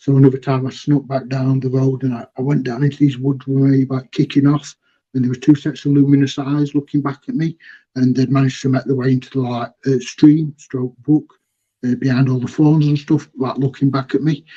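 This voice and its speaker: The tone is dark and mellow, somewhat breathy, with flat, monotone intonation. The pace is fairly quick. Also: man, medium pitch for a man. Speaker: eyewitness. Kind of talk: testimony. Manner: fast.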